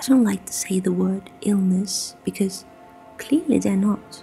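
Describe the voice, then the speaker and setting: A soft-spoken woman whispers at a fairly slow pace. Music plays in the background. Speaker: ASMR creator. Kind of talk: informational talk to listener. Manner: soft-spoken, whispered.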